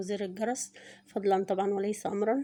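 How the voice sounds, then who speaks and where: Very fast pace with monotone, flat intonation. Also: woman. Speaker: poultry price vlogger. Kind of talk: price update vlog. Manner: hesitant fillers.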